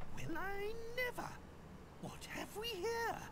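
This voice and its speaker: Over loud background noise, a put-on character voice moves at a fairly slow pace. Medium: game stream. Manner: pompous, exclamatory.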